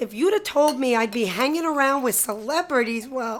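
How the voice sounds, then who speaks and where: A woman's put-on character voice, raspy and high-pitched, with lively intonation at a moderate pace. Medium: audio drama.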